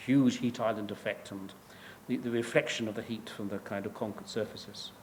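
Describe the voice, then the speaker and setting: Audible room echo surrounds a man with an English accent who speaks at a medium pitch in a monotone, flat intonation. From England. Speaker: professor. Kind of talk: lecture. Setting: stage with audience. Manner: halting.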